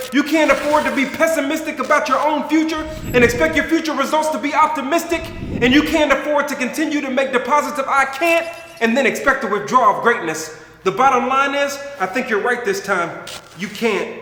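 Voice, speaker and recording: With noticeable background noise behind him, a man projects his extremely high voice at a fairly quick pace with lively intonation. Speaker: former NFL fullback, author and motivational speaker. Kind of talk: spoken word poem, motivational.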